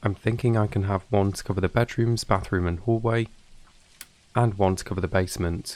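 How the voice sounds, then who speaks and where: Quiet and in a calm, relaxed tone, a man speaks at a moderate pace with a fairly low pitch and fairly even intonation. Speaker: gaming YouTuber. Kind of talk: calm gameplay commentary. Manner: quiet hushed tone.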